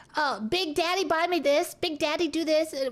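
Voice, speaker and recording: A woman performs a put-on character voice at an extremely high pitch. Her pace is moderate and her loudness stays very even. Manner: sweet, sugary, coquettish.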